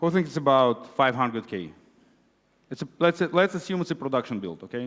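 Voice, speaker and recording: The speaker is a man at a moderate pace. His intonation stays lively. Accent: Israeli. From Israel. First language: Hebrew. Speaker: conference speaker, web developer. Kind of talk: conference talk. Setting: stage with audience.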